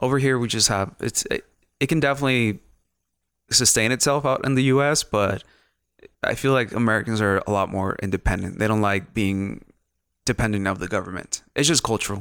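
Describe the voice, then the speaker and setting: A man with a Mexican accent speaks with long, frequent pauses on a very clean recording with a silent background. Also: medium pitch for a man, ordinary pitch variation, fairly quick pace. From northern Mexico. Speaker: photographer and videographer. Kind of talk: casual chat.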